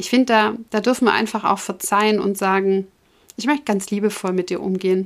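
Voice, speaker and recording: A woman with an unremarkable speaking voice talks fairly quickly at medium pitch and fairly even intonation, on a very clean recording with a silent background. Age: 40s. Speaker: podcast host and breast cancer patient. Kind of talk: personal monologue to listeners.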